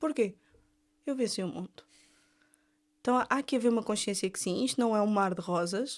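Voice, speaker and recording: On a very clean recording with a silent background, a woman with an Algarve accent talks in a relaxed tone at a fairly quick pace and fairly high pitch, with ordinary pitch variation and long, frequent pauses. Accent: Algarvian Portuguese. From Algarve, southern Portugal. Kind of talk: casual faith discussion. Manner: relaxed, informal speech.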